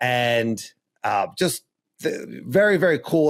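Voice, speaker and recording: A man speaks with a Philadelphia accent and lively intonation. The recording is very clean, with a silent background. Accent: Philly. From Philadelphia suburbs, US. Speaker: podcast host. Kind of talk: casual chat.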